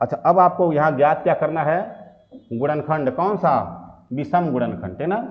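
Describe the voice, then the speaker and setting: A man speaks with long, frequent pauses in a room with audible echo. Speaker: math teacher. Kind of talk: lecture. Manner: repetitive filler "ठीक ना".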